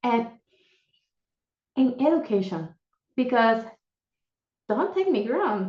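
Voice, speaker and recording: A woman with a Puerto Rican accent speaks very slowly in a high voice, her pitch swinging very widely. She leaves long, frequent pauses. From Puerto Rico. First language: Spanish. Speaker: panelist. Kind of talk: panel discussion. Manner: animated.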